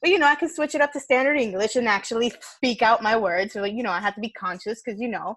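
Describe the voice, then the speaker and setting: A woman at a very fast pace, with hardly any pauses. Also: fairly high pitch for a woman, lively intonation. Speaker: podcast host. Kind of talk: casual chat.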